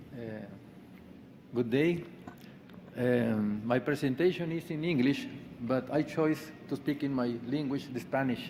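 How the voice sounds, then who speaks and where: Speaking at a very slow pace with long, frequent pauses, a man talks at a medium pitch. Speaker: agronomy lecturer. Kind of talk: conference talk.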